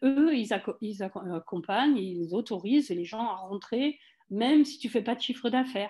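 A woman's fairly high, somewhat breathy voice with a dark, mellow tone, on a very clean recording against a silent background. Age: 60s. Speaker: wellness cooperative founder. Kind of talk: casual interview.

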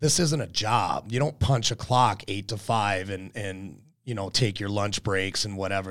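On a very clean recording with a silent background, a man with a normal speaking voice talks at a moderate pace in a fairly low pitch, with ordinary pitch variation. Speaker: real estate agent and podcast host. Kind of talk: solo monologue podcast. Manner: casual with many fillers and repetitions.

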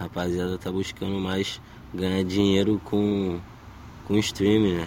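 At a fairly slow pace, a man speaks with a very deep, low pitch and monotone, flat intonation. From Brazil, Baixada Fluminense (Duque de Caxias, Rio de Janeiro). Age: 20s. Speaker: rapper. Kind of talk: interview. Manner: casual slangy.

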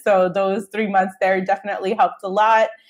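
Fairly quick and fairly high in pitch, a woman talks. She uses a normal speaking voice. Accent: American. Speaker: travel blogger and podcast host. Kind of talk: casual interview chat.

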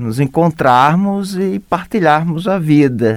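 The man speaks at a very slow pace but with lively intonation. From Brazil, Alagoas. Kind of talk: interview.

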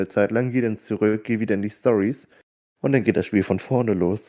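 Speaking at a fairly quick pace, a man has a dark, mellow tone, fairly low pitch and fairly even intonation, recorded very cleanly against a silent background. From northern Germany, Hamburg. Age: 20s. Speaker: podcast co-host. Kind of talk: casual chat.

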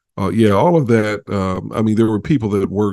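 Against a quiet background, a man with an American accent talks at a fairly low pitch in a dark, mellow tone with fairly even intonation. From Chicago. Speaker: media personality and podcast producer. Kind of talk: interview.

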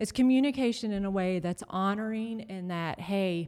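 A normal speaking voice with an American accent talks at a fairly slow pace on a very clean recording with a silent background. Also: woman. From North Carolina. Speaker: pastor's wife. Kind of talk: casual chat.

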